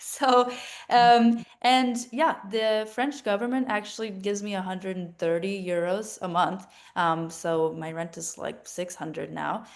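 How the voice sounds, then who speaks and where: A woman's normal speaking voice with an American accent, medium in pitch, with ordinary pitch variation, a fairly slow pace, and big swings in loudness. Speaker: university student. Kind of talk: panel discussion. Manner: casual, many fillers.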